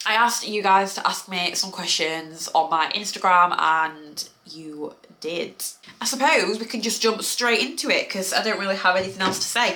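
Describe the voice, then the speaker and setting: A woman's medium-pitched voice with a British accent, lively intonation and a moderate pace, amid audible room echo and noticeable background noise. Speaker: lifestyle vlogger. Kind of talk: casual Q&A vlog.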